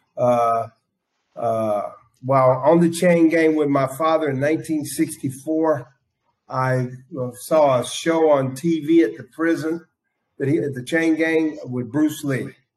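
A man with an American accent talks at a very slow pace. His pitch is fairly high and his intonation fairly even. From US South, South Carolina (Aiken County). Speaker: state hospital detainee telling his life story. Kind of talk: personal testimony.

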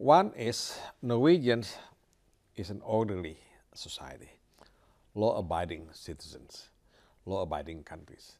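A man with a fairly low pitch talks at a fairly slow pace, his pitch swinging very widely. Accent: Indonesian. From Indonesia. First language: Indonesian. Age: 70s. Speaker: ambassador. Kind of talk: interview. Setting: at his residence.

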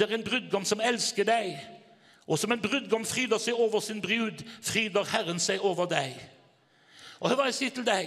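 Animated in tone, a man speaks at a moderate pace with a high pitch and ordinary variation over noticeable background noise. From Norway, Haugesund. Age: 60s. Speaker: evangelist preacher. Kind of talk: sermon.

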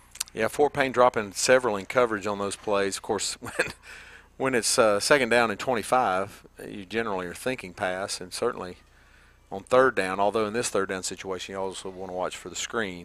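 This man has a fairly low pitch and fairly even intonation. He talks at a fairly quick pace. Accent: Southern US. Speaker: radio color commentator. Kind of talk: live sports commentary. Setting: stadium press box.

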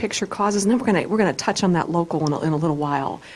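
A woman with a fairly low voice talks at a fairly quick pace in an enthusiastic tone. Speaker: radio talk show host.

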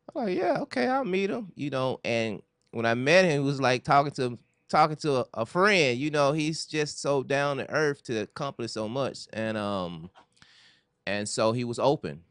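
An ordinary speaking voice from a man with an American accent, fairly high pitch, lively intonation and a moderate pace. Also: quiet background. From US South, Memphis, Tennessee. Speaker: film director and writer. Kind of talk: interview. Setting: studio.

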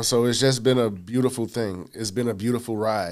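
A man with a medium-pitched voice rattles off his words at a very fast pace. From New York City, Queens (South Jamaica). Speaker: timeshare sales manager. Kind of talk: interview. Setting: studio.

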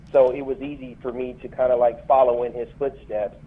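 Over noticeable background noise, a man with an American accent talks fairly quickly in a monotone, flat delivery. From Flint, Michigan. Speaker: military veteran, conference founder. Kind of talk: interview.

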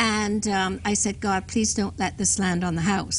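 A woman talks at a moderate pace, and room echo is audible around her. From England, London. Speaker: children's author. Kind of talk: interview testimony.

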